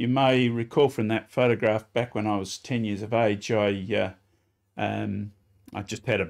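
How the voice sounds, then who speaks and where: Speaking with an Australian accent, a man uses a fairly low pitch and ordinary pitch variation. He keeps a moderate pace against a quiet background. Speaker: former real estate agent. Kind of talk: interview. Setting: studio. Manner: halting.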